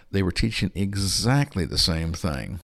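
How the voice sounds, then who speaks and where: A man with an American accent speaks with vocal fry. The recording is very clean, with a silent background. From US West Coast (Berkeley, California). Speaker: creationist scientist and missionary. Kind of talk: interview. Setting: studio.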